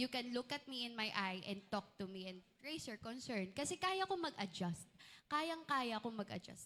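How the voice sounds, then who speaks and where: Very wide pitch swings and a bright, sharp tone, with a Chinese accent. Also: woman, high pitch for a woman, moderate pace. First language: Mandarin (speaking Tagalog). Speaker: student candidate. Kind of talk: answering panel questions. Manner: halting.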